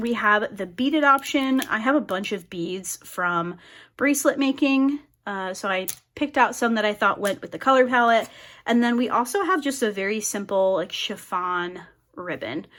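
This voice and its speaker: In a very clean recording with a silent background, a woman with a plain, everyday voice speaks at a moderate pace, her fairly high pitch carrying lively intonation. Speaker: crafting YouTuber. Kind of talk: casual crafting tutorial chat. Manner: chatty, many fillers.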